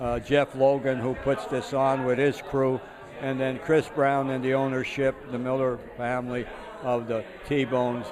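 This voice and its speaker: A man at a fairly slow pace, monotone and flat, with audible room echo and noticeable background noise. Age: 80s+. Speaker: retired groundskeeper. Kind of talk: casual interview. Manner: halting, many fillers.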